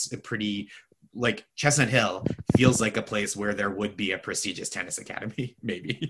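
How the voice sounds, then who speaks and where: The voice has a bright, sharp tone with an American accent. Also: man. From Boston area. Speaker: comedian and TV writer. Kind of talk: casual chat.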